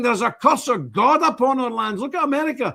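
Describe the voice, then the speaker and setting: Speaking at a fairly quick pace, a man uses an animated tone. The recording is very clean, with a silent background. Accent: Glasgow. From Scotland. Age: 60s. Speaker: religious group leader, streamer. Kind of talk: live stream monologue.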